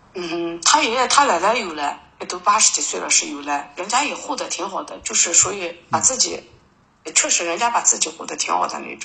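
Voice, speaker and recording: Over noticeable background noise, a woman with a fairly low pitch speaks at a fairly quick pace, making very wide pitch swings and big swings in loudness. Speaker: caller seeking counseling. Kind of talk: call-in counseling talk. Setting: phone call. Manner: halting, many fillers.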